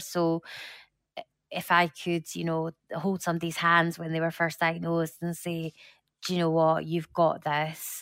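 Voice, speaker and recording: A woman with a Scottish accent speaks at a moderate pace in a very clean recording with a silent background and a dry, close sound with no echo. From Scotland. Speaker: support group founder living with metastatic breast cancer. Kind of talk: interview, personal testimony.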